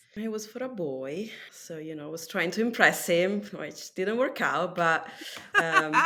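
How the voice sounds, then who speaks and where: Amid noticeable background noise and audible room echo, a woman at a medium pitch speaks at a fairly slow pace, with big swings in loudness. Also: lively intonation. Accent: Italian. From Italy. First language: Italian. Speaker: tattoo artist. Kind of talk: casual chat.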